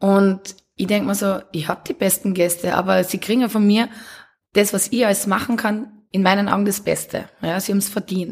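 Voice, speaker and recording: Somewhat breathy speech from a woman with fairly even intonation. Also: medium pitch for a woman, moderate pace. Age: 30s. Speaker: café and bar owner. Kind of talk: casual interview.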